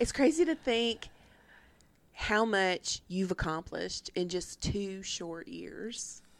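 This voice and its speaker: Heard in a very clean recording with a silent background, the speaker has a Tennessee accent and lively intonation at a very slow pace. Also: woman, medium pitch for a woman. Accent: US Southern (Tennessee). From Nashville, Tennessee (Antioch). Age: 50s. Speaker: podcast co-host. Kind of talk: casual chat.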